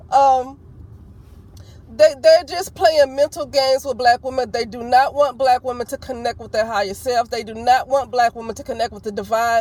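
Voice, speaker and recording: In an Alabama accent, a woman speaks at a high pitch. Her pitch varies in an ordinary way. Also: moderate pace, big swings in loudness. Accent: still country, Alabama. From US South, Alabama. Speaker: vlogger. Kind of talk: opinion vlog monologue. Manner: loud; passionate.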